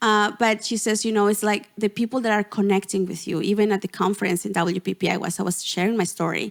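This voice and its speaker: Speaking very fast with hardly any pauses, a woman with a Spanish accent keeps a monotone, flat intonation on a very clean recording with a silent background. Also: medium pitch for a woman, dry, close sound with no echo. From Mexico, Gulf Coast. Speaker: portrait photographer and business coach. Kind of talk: podcast interview.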